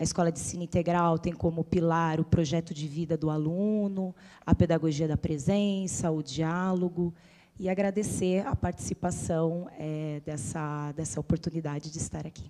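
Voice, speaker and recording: A woman speaks in a fairly low, dark, mellow voice with fairly even intonation. The recording is very clean, with a silent background. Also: moderate pace. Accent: slight São Paulo. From Itu, São Paulo state interior, Brazil. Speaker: schoolteacher. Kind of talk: self-introduction in panel.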